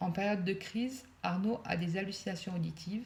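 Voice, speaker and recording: A woman's voice, medium in pitch and somewhat breathy, with ordinary pitch variation. She speaks at a moderate pace. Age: 60s. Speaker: mother of a son with mental illness. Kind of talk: reading aloud. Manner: less natural than usual, read.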